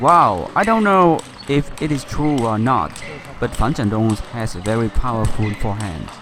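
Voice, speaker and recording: With a Vietnamese accent, the speaker talks at a moderate pace with lively intonation. Noticeable background noise runs underneath. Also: man, medium pitch for a man. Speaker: table tennis coach. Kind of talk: casual chat.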